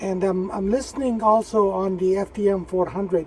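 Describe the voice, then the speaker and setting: A man speaks at a moderate pace in a high pitch, his intonation fairly even. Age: 60s. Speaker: amateur radio operator. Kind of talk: casual chat. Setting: radio contact over repeater on handheld.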